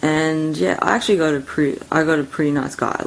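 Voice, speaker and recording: Mumbled speech comes at a moderate pace in an Australian accent. There is noticeable background noise. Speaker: vlogger. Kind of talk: casual rant. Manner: mumbling.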